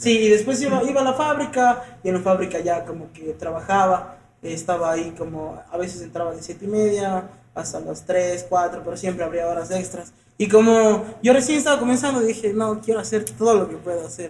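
With audible room echo, a man talks at a fairly quick pace in a high pitch, with lively intonation and big swings in loudness. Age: 20s. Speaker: tattoo artist and trap musician. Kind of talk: casual chat.

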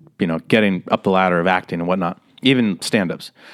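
A man's plain, everyday voice with an American accent, fairly quick in pace, ordinary pitch variation, very clean recording, silent background. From Las Vegas, Nevada. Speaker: comedian and actor. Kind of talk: casual interview chat.

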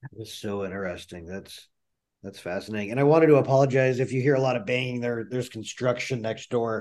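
Against a quiet background, a man at medium pitch talks very fast with ordinary pitch variation. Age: 40s. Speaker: podcast host. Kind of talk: interview.

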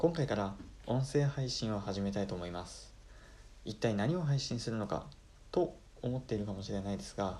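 A dark, mellow tone carries this voice. The pace is moderate and the intonation lively. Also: man, fairly low pitch for a man. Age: 20s. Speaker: podcaster, engineer. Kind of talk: solo podcast introduction. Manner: polite formal.

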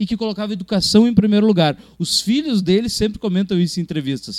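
The sound is dry and close, with no echo. A man speaks at a high pitch with lively intonation. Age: 30s. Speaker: film critic. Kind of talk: casual chat.

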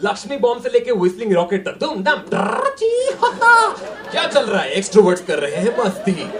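Over noticeable background noise, a man speaks in an animated tone. His pitch sits high. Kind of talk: stand-up comedy. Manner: animated, rapid-fire, heavily repeating words for comic effect; switches between Hindi and English, mimics crowds and characters.

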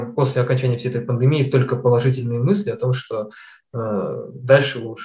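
A somewhat breathy, dark, mellow tone at a fairly quick pace with fairly even intonation. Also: man, medium pitch for a man. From Kazakhstan. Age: 20s. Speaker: data scientist. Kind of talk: interview.

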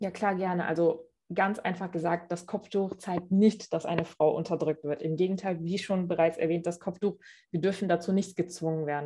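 A woman's fairly low, dark, mellow voice comes out somewhat breathy and monotone, with flat intonation. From Germany, Cologne. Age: 20s. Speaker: interview guest. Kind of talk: interview. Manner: hesitant, many fillers.

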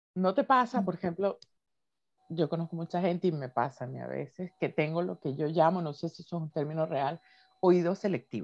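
Speaking at a fairly quick pace, a woman with a fairly low pitch and vocal fry uses ordinary pitch variation in a dry, close recording with no echo. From Venezuela. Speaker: podcast co-host. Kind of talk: casual chat. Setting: video call.

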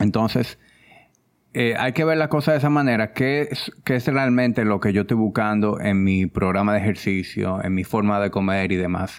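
Keeping his loudness very even, a man speaks at a moderate pace with ordinary pitch variation. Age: 30s. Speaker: fitness coach and wellness entrepreneur. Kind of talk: interview.

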